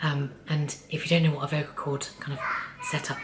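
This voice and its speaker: A woman's very deep, low voice at a moderate pace, with fairly even intonation and noticeable background noise. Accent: British. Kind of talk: casual talk to camera.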